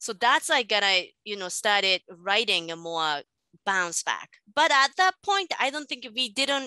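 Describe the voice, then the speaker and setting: In a Japanese accent, a woman speaks at a fairly slow pace. Her fairly high, bright, sharp voice moves through very wide pitch swings. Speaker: manga artist and teacher. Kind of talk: interview.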